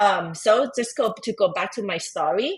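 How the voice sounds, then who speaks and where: Against a quiet background, a woman speaks with a Thai accent. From Thailand. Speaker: tax advisor and entrepreneur. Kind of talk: podcast interview. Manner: halting, with many fillers and restarts.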